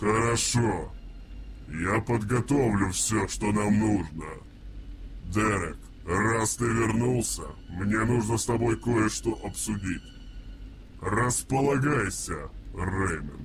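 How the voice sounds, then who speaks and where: At a fairly slow pace, a man speaks at a fairly low pitch with very even loudness and long, frequent pauses, over clear background noise. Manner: cryptic, cold.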